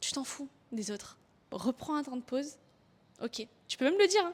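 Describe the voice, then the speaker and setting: Lively intonation marks this woman's high-pitched speech, delivered at a moderate pace. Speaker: online coach and content creator. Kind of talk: motivational tutorial to camera. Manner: lively, expressive.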